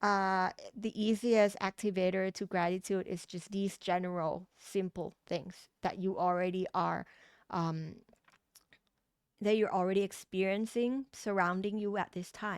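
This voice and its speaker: The voice carries a Thai accent and fairly even intonation at a fairly slow pace. The sound is dry and close with no echo, on a very clean recording with a silent background. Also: woman, medium pitch for a woman. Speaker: tarot reader. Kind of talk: tarot reading. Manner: halting, with fillers and restarts.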